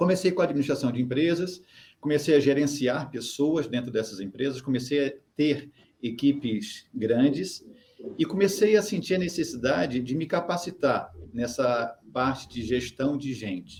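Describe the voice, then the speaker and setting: With a slight Carioca accent, a man with a fairly high pitch speaks at a moderate pace with lively intonation. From Brazil, Rio de Janeiro. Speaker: human behaviour consultant. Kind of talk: interview. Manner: hesitant, filler-heavy.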